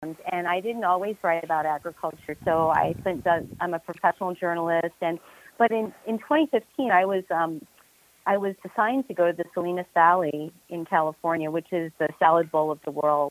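A woman with an American accent uses a plain, everyday voice, fairly low in pitch with ordinary variation, at a moderate pace in a dry, close sound with no echo. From New York suburbs. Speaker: journalist and author. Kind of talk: interview.

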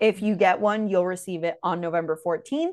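The voice has a strong Miami accent and moves at a fairly quick pace. Intonation stays fairly even over a quiet background. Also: woman. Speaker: podcast host. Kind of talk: casual chat.

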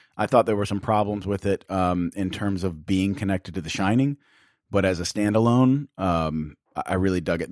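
A man's fairly low-pitched voice at a fairly quick pace, with ordinary pitch variation and a dry, close sound with no echo, on a very clean recording with a silent background. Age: 30s. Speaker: movie podcast host. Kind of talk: casual chat. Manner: animated.

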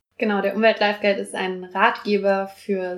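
This woman's intonation is monotone and flat. She talks at a medium pitch and a moderate speed. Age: 20s. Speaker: university student, environmental activist. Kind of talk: casual interview.

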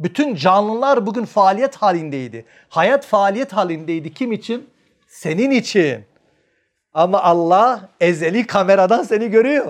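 Speaking in an animated tone, the man has a high pitch and lively intonation. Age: 50s. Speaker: family counselor and behavioral scientist. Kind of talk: religious lecture to an audience.

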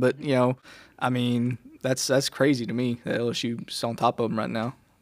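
Recorded very cleanly with a silent background and a dry, close sound with no echo, a man with a Southern US accent talks at a fairly quick pace and medium pitch. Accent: Southern American. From Mississippi. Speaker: student podcast co-host. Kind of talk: casual chat.

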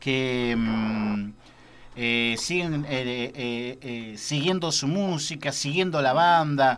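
The man's intonation is lively. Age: 30s. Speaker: radio host. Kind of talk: radio interview.

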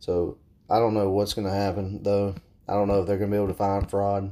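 A man with a Southern US accent talks at a very fast pace, his dark, mellow voice fairly low and flat in a monotone. The recording is very clean, with a silent background. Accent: Southern American. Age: 20s. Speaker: podcast host and firearms instructor. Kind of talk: solo podcast monologue.

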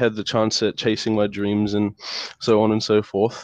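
A man with a New Zealand accent speaks at a moderate pace. The sound is dry and close with no echo, over a quiet background. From New Zealand, Lower Hutt, Wellington. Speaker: university student. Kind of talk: casual interview. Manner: halting, many fillers.

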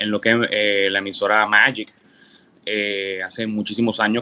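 Recorded with a dry, close sound and no echo, a man with a bright, sharp tone and fairly low pitch speaks in a monotone, flat intonation. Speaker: radio and TV producer. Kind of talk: interview.

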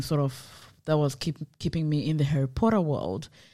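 Pitched very deep and low, a woman speaks with fairly even intonation and a dark, mellow tone on a very clean recording with a silent background. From Zimbabwe. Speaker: podcast co-host. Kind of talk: casual chat.

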